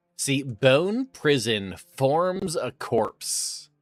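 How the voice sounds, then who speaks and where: Against music in the background, a man's pitch swings very widely, with a dry, close sound and no echo. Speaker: video game streamer. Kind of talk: live gameplay stream chat. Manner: loud; casual, conversational.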